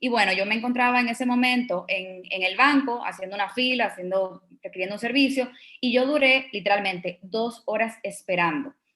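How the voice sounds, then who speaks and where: A woman talks in a normal speaking voice. She moves at a fairly quick pace with ordinary pitch variation. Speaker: startup co-founder. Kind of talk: conference talk.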